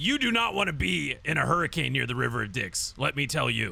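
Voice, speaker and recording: A man in a put-on character voice at a fairly quick pace, over light background noise. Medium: audio drama. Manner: fast, jokey, repetitive.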